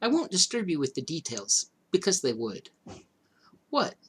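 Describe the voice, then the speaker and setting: A man puts on a breathy character voice with high pitch. He talks at a moderate pace. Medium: read story. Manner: airy, offhand.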